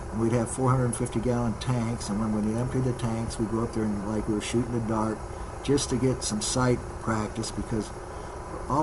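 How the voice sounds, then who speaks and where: Over noticeable background noise and audible room echo, a man talks fairly quickly at a medium pitch. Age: 80s+. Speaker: retired fighter pilot. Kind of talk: interview reminiscence.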